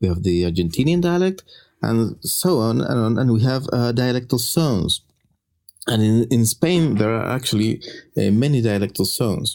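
Speaking with a Chilean accent, a man keeps a medium pitch, lively intonation, very even loudness, and a moderate pace. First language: Spanish. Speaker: linguist. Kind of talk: casual chat. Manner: halting.

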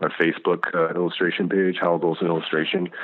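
With a slight Southern US accent, a man speaks at a fairly quick pace in a very deep, low pitch. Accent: slight Southern twang. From US South. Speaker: illustrator. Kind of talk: interview. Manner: polite; halting.

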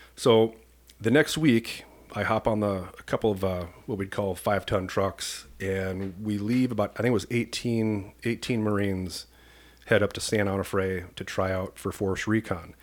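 A man with an American accent has a plain, everyday voice with a fairly low pitch and fairly even intonation. The recording is very clean with a silent background. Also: moderate pace. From US Midwest, rural Iowa. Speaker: police commander. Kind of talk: casual interview.

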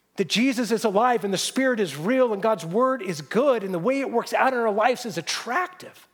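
Speaking in a high voice, a man talks with hardly any pauses. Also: lively intonation, fairly quick pace. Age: young. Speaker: pastor. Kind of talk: sermon.

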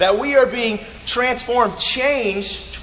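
A robotic put-on character voice sits at a fairly high pitch. It moves at a fairly slow pace over clear background noise.

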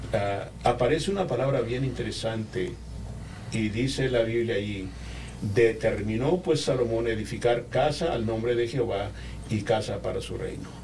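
A man with a medium-pitched voice talks at a moderate pace with ordinary pitch variation. Room echo can be heard. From Peru. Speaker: pastor. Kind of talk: sermon-style teaching in a podcast chat.

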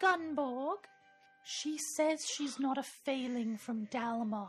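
A put-on character voice speaks at a fairly slow pace. Faint music plays in the background. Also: woman, high pitch for a woman. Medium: actual play. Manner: playful, jokey.

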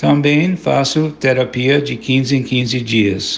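Speaking with an American accent, a man uses a medium pitch with ordinary pitch variation. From United States. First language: English (speaking Portuguese). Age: 70s. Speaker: journalist and mental health activist. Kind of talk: testimony.

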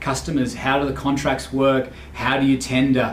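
The recording has noticeable background noise and audible room echo. A man talks at a medium pitch. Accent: Australian. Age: 40s. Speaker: podcast host and finance business owner. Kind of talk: solo podcast monologue. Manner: halting, many fillers.

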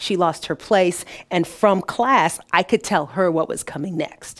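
A woman with an American accent and a fairly low voice has an unremarkable speaking voice and ordinary pitch variation. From Detroit, US Midwest. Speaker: business owner and freelance broadcaster. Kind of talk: interview conversation.

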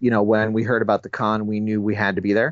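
A man speaks in a medium pitch. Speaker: toy collector. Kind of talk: casual chat. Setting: phone call.

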